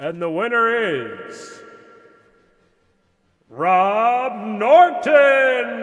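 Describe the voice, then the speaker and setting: Putting on a character voice, a man speaks extremely high with very wide pitch swings, at a very slow pace full of long, frequent pauses. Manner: dramatic, announcing.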